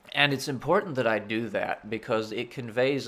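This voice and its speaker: Speaking fairly slowly, a man lets his pitch vary in an ordinary way. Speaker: gaming video creator. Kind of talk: casual monologue. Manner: cheery, smiling voice.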